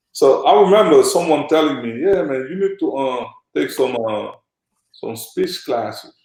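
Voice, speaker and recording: A man with a Senegalese accent, at a moderate pace. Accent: Senegalese accent, kept. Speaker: former pro basketball player and agent. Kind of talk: interview conversation. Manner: animated, uses many fillers.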